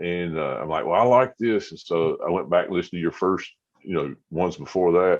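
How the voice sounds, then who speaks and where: The delivery moves fairly quickly. Its pitch rises and falls in an ordinary way. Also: man, very deep, low pitch for a man. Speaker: podcaster. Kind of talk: casual chat. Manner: halting, many fillers.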